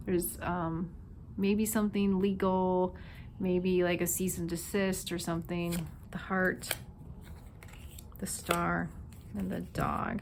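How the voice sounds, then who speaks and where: A woman's very slow, monotone, flat delivery with a slight Minnesota accent, long, frequent pauses, and audible room echo. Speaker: tarot reader. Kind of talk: intuitive tarot reading. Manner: casual, filler-heavy.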